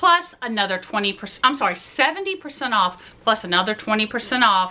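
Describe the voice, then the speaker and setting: With very wide pitch swings and an enthusiastic tone, a woman speaks in a Southern US accent at a fairly high pitch. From US South. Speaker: Disney vlogger. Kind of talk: casual haul video talk to camera. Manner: chatty, enthusiastic.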